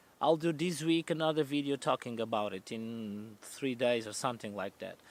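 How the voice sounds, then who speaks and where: On a very clean recording with a silent background, the speaker talks at a moderate pace in a Portuguese accent with ordinary pitch variation. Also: man, medium pitch for a man. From central Portugal. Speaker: van life vlogger. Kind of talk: casual Q&A vlog. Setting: outdoors. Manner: halting, self-correcting.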